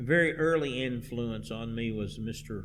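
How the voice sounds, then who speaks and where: A man at a moderate pace amid audible room echo. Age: 70s. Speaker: church music director. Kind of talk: interview.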